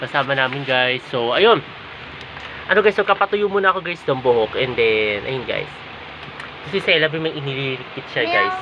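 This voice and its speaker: The voice moves at a moderate pace with very wide pitch swings. Background noise is noticeable. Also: woman, very deep, low pitch for a woman. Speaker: vlogger. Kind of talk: casual vlog. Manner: soft-spoken.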